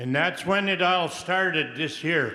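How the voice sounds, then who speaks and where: A man talking at a fairly slow pace, with audible room echo. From Peace River country, Canada. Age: 80s+. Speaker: residential school survivor. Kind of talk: audience question at public forum.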